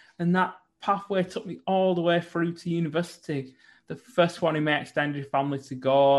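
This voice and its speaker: With a northern English accent, a man talks at a fairly quick pace and a high pitch. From northern England. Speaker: businessman. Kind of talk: interview.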